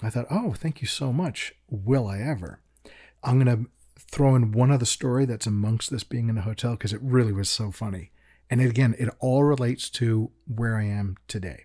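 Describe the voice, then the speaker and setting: A somewhat breathy man with a dark, mellow tone speaks at a moderate pace and medium pitch, with ordinary pitch variation, on a very clean recording with a silent background. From England, raised in Chicago. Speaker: creature designer. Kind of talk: casual interview. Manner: self-deprecating, humorous.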